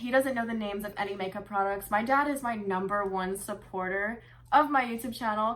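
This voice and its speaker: A woman speaks in a plain, everyday voice at a moderate pace. Her pitch varies in an ordinary way. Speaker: beauty YouTuber. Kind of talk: casual talk to camera.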